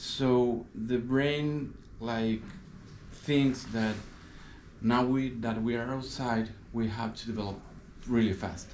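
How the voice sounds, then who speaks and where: Speaking with a Spanish accent, a man talks very slowly at medium pitch, leaving long, frequent pauses. His intonation is monotone and flat, and room echo is audible. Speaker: eye care assistant. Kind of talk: explanatory interview. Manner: halting.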